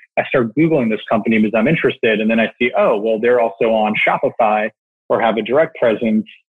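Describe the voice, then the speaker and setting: A man with a normal speaking voice holds a medium pitch, fairly even intonation and very even loudness. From Canada. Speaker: e-commerce operations executive. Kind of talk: interview. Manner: many fillers, repeats words.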